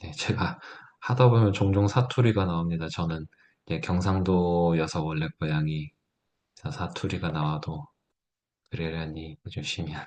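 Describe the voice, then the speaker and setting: Against a quiet background, a man with a very deep, low pitch speaks at a moderate pace, leaving long, frequent pauses, with ordinary pitch variation. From Gyeongsang province, South Korea (Gyeongju). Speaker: teacher / edtech seminar instructor. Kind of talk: tutorial.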